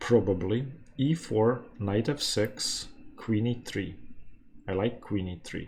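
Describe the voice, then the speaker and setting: Speaking very slowly with a non-native accent, a man leaves long, frequent pauses. His voice is fairly low and somewhat breathy, with ordinary pitch variation. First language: not English. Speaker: chess YouTuber. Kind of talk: live game commentary. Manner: thinking aloud, halting.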